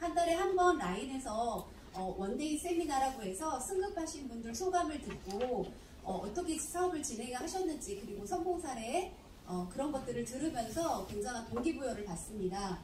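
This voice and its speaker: Very wide pitch swings at a moderate pace, with audible room echo and light background noise. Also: woman, high pitch for a woman. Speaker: network marketing distributor; presenter. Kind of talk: testimony; presentation talk. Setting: stage with audience. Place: hall.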